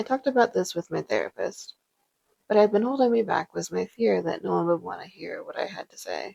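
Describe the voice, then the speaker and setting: Dry and close with no echo, a woman's voice moves at a fairly quick pace. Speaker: life coach and content creator. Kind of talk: personal reflection narration.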